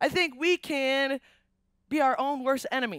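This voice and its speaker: A woman's high-pitched voice, dry and echo-free, over a quiet background. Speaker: speaker. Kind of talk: sermon. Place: stage. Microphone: headset.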